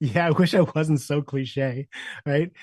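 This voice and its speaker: With a dry, close sound and no echo, a man speaks fairly slowly in a fairly high, somewhat breathy voice with fairly even intonation. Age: 60s. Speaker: leadership coach. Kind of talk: podcast interview.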